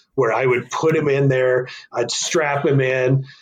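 A man with an American accent speaks at a moderate pace and a medium pitch. His intonation is fairly even, and his voice is somewhat breathy. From northern Arizona. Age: 40s. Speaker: bowhunter and hunting association volunteer. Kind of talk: casual interview chat.

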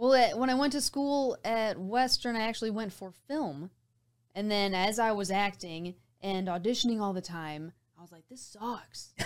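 An unremarkable speaking voice from a woman, fairly high-pitched, with lively intonation, big swings in loudness and a moderate pace. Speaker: voiceover artist and actor. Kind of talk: casual interview chat. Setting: studio.

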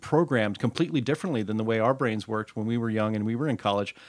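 On a very clean recording with a silent background, a man with a plain, everyday voice talks fairly quickly with ordinary pitch variation. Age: 40s. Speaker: podcast host. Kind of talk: interview. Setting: studio.

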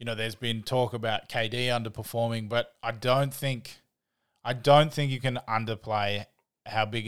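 In an Australian accent, a man speaks at a medium pitch and a moderate pace with monotone, flat intonation, in a very clean recording with a silent background. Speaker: podcast host. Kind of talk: casual podcast chat.

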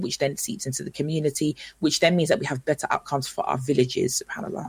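At a very fast pace, a woman with a very deep, low pitch speaks in a somewhat breathy voice with ordinary pitch variation, the sound dry and close with no echo. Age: 30s. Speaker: motivational speaker and presenter. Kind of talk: radio interview. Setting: live radio broadcast.

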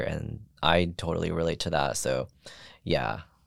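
A man speaks at a moderate pace with a very deep, low pitch and vocal fry. The recording is very clean, with a silent background. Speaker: collage artist. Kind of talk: casual interview conversation.

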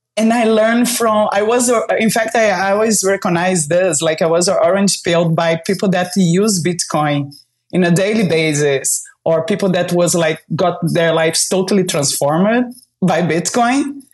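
A woman talks at a moderate pace in a Brazilian accent, her pitch medium with ordinary variation. Her loudness stays very even throughout. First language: Portuguese. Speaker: bitcoin entrepreneur and community builder. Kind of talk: casual interview chat. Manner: animated.

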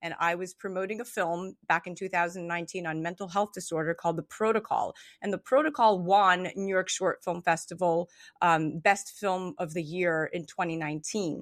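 In a dry, close sound with no echo and a quiet background, this is an unremarkable speaking voice. It moves at a moderate pace with ordinary pitch variation. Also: woman, medium pitch for a woman. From Montreal, Canada. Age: 30s. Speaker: actress and radio host. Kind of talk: casual chat.

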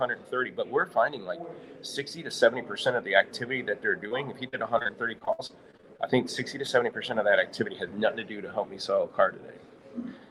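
A man with a Midwestern American accent talks at a fairly quick pace. His loudness swings widely over noticeable background noise. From US Midwest, St. Louis, Missouri. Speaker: automotive software company owner. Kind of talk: live interview at trade show. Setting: live broadcast at trade show event.

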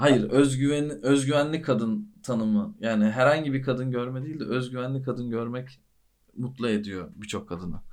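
Audible room echo surrounds a man speaking at a moderate pace, with medium pitch and ordinary pitch variation. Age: 30s. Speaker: podcast host. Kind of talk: casual chat.

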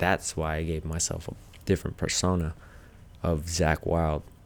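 The speaker has an American accent. The intonation stays monotone and flat throughout. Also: man. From Arizona. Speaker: photographer and videographer. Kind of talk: casual chat.

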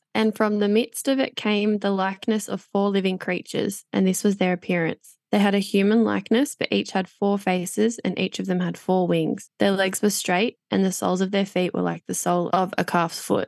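A woman with an Australian accent speaks with fairly even intonation, hardly any pauses and very even loudness. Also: medium pitch for a woman, moderate pace, dry, close sound with no echo. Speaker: Bible podcast co-host. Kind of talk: casual chat.

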